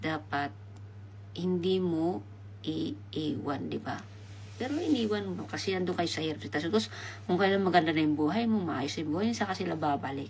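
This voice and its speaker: A woman speaks at a moderate pace with a very deep, low pitch and vocal fry. Her pitch swings very widely, and audible room echo surrounds her. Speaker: livestreamer. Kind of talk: live stream chat. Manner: soft-spoken.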